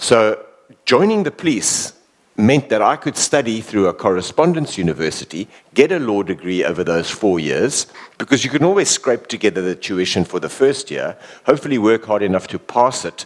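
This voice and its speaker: Speaking at a moderate pace with a South African accent, a man's medium-pitched voice swings very widely in pitch. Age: 50s. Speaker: former bodyguard and police officer. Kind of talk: talk interview before an audience. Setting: village hall with live audience.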